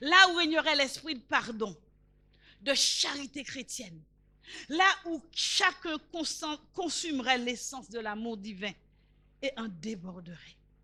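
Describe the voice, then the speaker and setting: The speaker uses a raised, projected voice with a bright, sharp tone, very wide pitch swings and big swings in loudness, talking at a very slow pace with long, frequent pauses. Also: woman, high pitch for a woman. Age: 70s. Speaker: preacher. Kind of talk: sermon.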